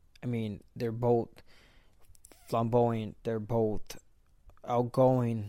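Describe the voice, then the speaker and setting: In a Spanish accent, a man with a dark, mellow tone and medium pitch speaks at a very slow pace in a monotone, flat way, with long, frequent pauses. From Mexico. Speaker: retired boxer and boxing commentator. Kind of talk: casual podcast monologue.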